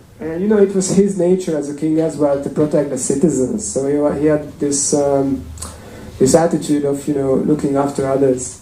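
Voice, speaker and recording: Noticeable background noise and audible room echo accompany a man with a fairly high pitch and ordinary pitch variation. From Hungary. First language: Hungarian. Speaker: temple speaker. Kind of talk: sermon. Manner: hesitant, many fillers.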